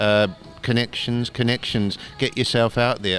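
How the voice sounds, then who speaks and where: Music plays in the background as a man talks at a moderate pace. His pitch is medium, and he has an Australian accent. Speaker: cartoonist and doctor. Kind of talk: interview. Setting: convention.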